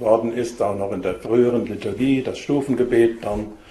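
A man speaking at a fairly slow pace with fairly even intonation, with audible room echo. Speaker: bishop giving a talk. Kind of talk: lecture. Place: hall. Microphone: podium.

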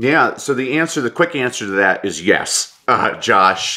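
Against a quiet background, a man speaks at a moderate pace in a bright, sharp tone. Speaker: motivational speaker and coach; motivational speaker, coach. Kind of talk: interview conversation. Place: home room. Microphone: webcam.

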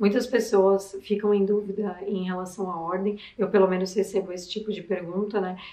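A woman talks at a moderate pace with hardly any pauses. Her intonation is monotone and flat. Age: 20s. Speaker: beauty youtuber reacting to videos. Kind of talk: video commentary. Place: home room.

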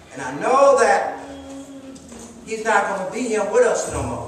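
Strong room echo surrounds a man speaking at a fairly slow pace, his high-pitched voice fairly bright in tone with big pitch swings.

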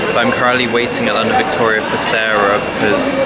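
A man talks very fast over loud background noise. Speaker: vlogger. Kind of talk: casual vlog chat. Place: station. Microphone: phone near.

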